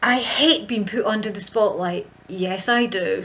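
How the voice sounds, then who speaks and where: A woman speaks at a medium pitch with a strong Scottish accent over noticeable background noise. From central Scotland. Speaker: visibility coach. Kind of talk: vlog monologue. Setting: home video recording.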